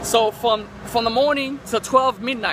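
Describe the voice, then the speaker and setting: Over noticeable background noise, a man uses a raised, projected voice at a fairly slow pace, the sound dry with no echo. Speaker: online marketer vlogger. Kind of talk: casual vlog chat. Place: street. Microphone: phone near.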